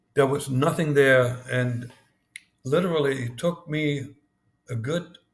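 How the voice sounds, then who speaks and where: At a very slow pace, a man with a slight German accent speaks in a somewhat breathy voice with ordinary pitch variation. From East Germany. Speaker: former spy. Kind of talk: interview. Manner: halting, with many repetitions.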